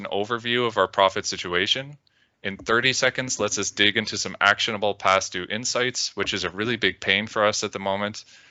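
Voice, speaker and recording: A man with a Canadian accent has a normal speaking voice at a fairly low pitch. He talks at a fairly quick pace with fairly even intonation. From Canada. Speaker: data visualization consultant. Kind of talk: conference presentation.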